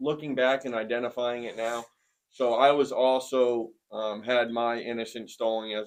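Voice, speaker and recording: In a northern New England accent, a man talks at a medium pitch and moderate pace in a monotone, flat intonation. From Maine, small town Newport. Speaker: formerly homeless man sharing his story. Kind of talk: personal testimony.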